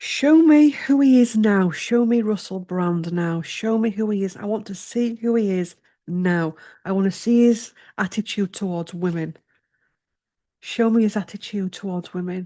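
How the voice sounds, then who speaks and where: A woman's dark, mellow tone at medium pitch, with ordinary pitch variation at a moderate pace against a quiet background. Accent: English. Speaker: tarot reader. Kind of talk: tarot reading.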